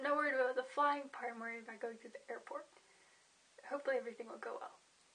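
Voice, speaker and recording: High pitch and ordinary pitch variation from a woman, with noticeable background noise behind. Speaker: vlogger. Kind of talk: casual vlog. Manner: halting, stumbling over words.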